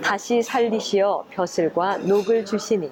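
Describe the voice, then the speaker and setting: Over noticeable background noise, a woman with a fairly high pitch speaks at a very slow pace in a calm, soothing tone with ordinary pitch variation. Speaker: former announcer, university professor, reading guest. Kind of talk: ASMR reading of a classical text. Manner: calm, measured, soothing.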